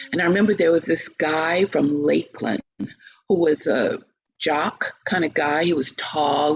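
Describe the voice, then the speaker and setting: Speaking with an American accent, a woman uses a very deep, low voice with vocal fry and ordinary pitch variation. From US South. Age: 60s. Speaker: opera singer and teacher. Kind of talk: interview.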